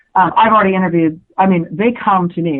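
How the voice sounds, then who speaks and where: At a fairly quick pace, a woman uses a plain, everyday voice with a medium pitch and ordinary pitch variation. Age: 40s. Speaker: journalist and author. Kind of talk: interview. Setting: radio show. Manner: casual, filler-heavy.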